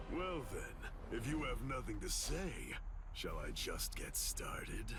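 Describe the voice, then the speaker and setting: Loud background noise fills the clip. Over it, a man does a put-on character voice at a fairly slow pace. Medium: game stream. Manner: gruff, menacing.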